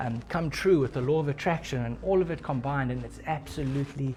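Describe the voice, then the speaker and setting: There is some breathiness in this man's voice. His pitch stays in the medium range. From South Africa. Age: 20s. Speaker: forex trader. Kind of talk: casual talk to camera.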